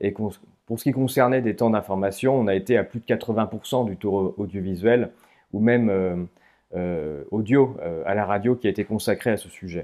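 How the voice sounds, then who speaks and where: A man speaks at a moderate pace with ordinary pitch variation. His pitch sits fairly low. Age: 30s. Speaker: statistician and author. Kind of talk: interview. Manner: frequent hesitations (euh).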